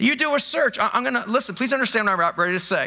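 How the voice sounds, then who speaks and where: Over a quiet background, a man uses a raised, projected voice with a bright, sharp tone. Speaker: pastor. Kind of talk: sermon. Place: church. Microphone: headset.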